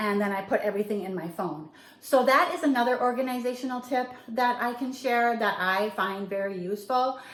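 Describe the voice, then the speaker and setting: A woman speaks at a fairly quick pace in a high voice with ordinary pitch variation. The recording has audible room echo and noticeable background noise. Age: 60s. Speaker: lifestyle vlogger. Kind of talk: casual vlog talk to camera. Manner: casual with fillers.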